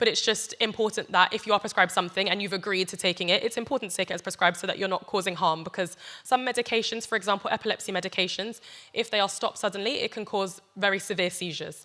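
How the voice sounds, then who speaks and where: A woman with a British accent talks at a very fast pace in a bright, sharp tone at a medium pitch. Her intonation is fairly even, and the recording is very clean with a silent background. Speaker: doctor giving health talk. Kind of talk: health talk to church audience.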